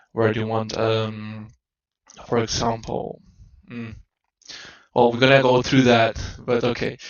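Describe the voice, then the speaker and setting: The pace is fairly slow. This man talks with a non-native accent. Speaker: game developer. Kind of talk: tutorial. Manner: halting, many fillers and restarts.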